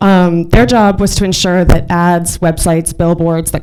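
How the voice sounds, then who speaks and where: Fairly low pitch from a woman, with fairly even intonation and a moderate pace, over noticeable background noise. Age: young. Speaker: marketing executive and speaker. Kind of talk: business presentation.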